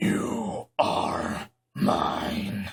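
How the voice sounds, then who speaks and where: A man growls in a put-on character voice at a medium pitch. There is clear echo around him. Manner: hateful, menacing.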